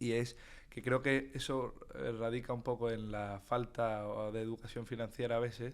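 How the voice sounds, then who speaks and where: At a moderate pace, a man speaks with a medium pitch and a monotone, flat intonation. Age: 20s. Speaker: investor. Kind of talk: interview.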